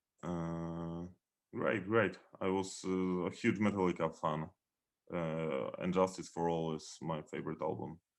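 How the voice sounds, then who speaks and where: With a Polish accent, a man talks at a fairly slow pace in a very deep, low voice, his intonation fairly even. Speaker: metal band founder. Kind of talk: interview. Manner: halting.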